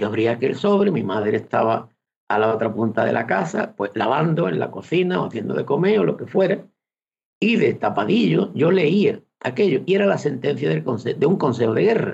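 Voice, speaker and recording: Vocal fry runs through a man's medium-pitched voice as he moves at a moderate pace with very wide pitch swings. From Fuente de Andalucía, Seville province. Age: 70s. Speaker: retired teacher. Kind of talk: radio interview.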